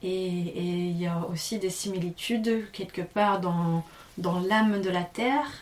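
A woman speaks at a very slow pace in a fairly low pitch, her intonation fairly even, over noticeable background noise. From Tasmania, Australia. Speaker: yoga and singing teacher, aerial performer. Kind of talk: casual interview. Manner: halting, many repetitions; soft-spoken.

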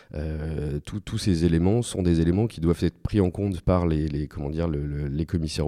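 This man's voice is very deep and low, with a dark, mellow tone and fairly even intonation. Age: 40s. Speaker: statutory auditor. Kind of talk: interview. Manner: halting, many repetitions and fillers.

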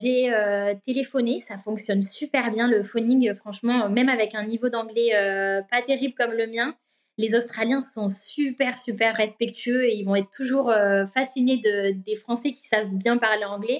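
The pace is fairly slow and the intonation fairly even. Overall it is an unremarkable speaking voice. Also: woman, fairly high pitch for a woman. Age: 20s. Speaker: working holiday traveller. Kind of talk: interview testimony.

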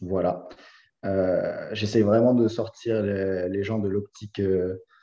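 A man's fairly low voice with a dark, mellow tone, fairly even intonation and a quiet background. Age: 20s. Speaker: CrossFit coach. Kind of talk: casual chat. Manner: halting.

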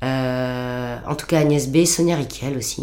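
A woman with a dark, mellow tone speaks over audible room echo. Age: 50s. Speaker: founder of an upcycling workshop. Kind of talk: interview. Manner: talkative.

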